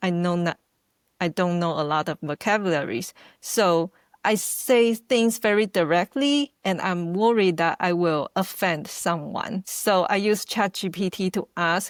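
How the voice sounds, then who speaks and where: A woman's medium-pitched voice in a Taiwanese accent at a fairly slow pace. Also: ordinary pitch variation, dry, close sound with no echo. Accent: Taiwanese Mandarin accent in English. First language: Mandarin. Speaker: video editor. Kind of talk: interview. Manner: halting.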